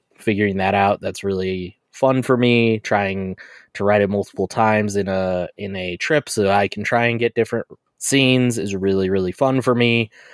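An ordinary speaking voice from a man, fairly low in pitch, comes at a moderate pace with fairly even intonation, and the sound is dry and close with no echo. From Colorado. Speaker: podcast co-host. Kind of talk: casual chat.

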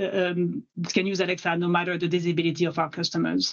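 With a French accent, a woman talks at a moderate pace and a medium pitch. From France. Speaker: tech company director. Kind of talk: interview.

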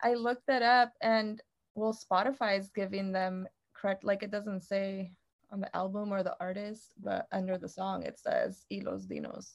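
In an American accent, a woman with an unremarkable speaking voice speaks at a moderate pace, her medium pitch showing ordinary variation. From Mexico and California (Stockton). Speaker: podcast co-host. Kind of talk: casual chat.

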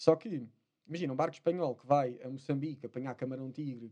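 A man with a European Portuguese accent speaks at a moderate pace. His voice is medium in pitch, with a dark, mellow tone. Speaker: spearfisherman. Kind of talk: casual chat.

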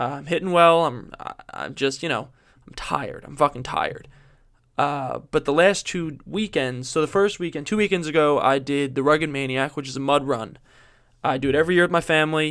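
A man's fairly high voice with big swings in loudness. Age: 20s. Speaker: podcast host. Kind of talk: casual chat. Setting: girlfriend's home.

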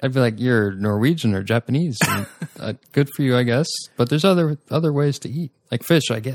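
Recorded with a dry, close sound and no echo, a man in an ordinary speaking voice talks at medium pitch and a fairly quick pace with ordinary pitch variation. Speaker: recurring podcast guest. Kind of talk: casual chat.

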